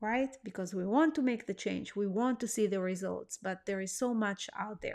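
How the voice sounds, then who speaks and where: Speaking with a non-native accent, a woman keeps a fairly high pitch and ordinary pitch variation. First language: not English. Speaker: weight-loss coach. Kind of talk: online course lesson. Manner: hesitant, many fillers.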